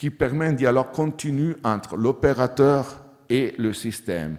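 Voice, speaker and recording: A man at a fairly slow pace, with ordinary pitch variation, against a quiet background. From Switzerland, Italian-speaking Ticino. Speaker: agricultural researcher; conference presenter. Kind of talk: conference talk. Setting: conference hall with audience. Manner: halting, non-native phrasing. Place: hall. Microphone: podium.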